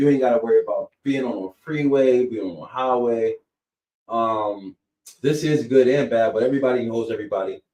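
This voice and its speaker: Using a medium pitch with a dark, mellow tone, a man with an American accent speaks at a fairly quick pace with ordinary pitch variation. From Erie, Pennsylvania, US. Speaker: realtor and local political candidate. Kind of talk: podcast interview.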